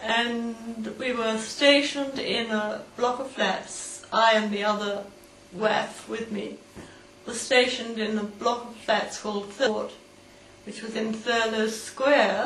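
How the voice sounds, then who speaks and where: Fairly slow, monotone woman's voice in a British accent, fairly high in pitch, with big swings in loudness over noticeable background noise. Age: 80s+. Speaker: war veteran. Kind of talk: personal storytelling, interview answer.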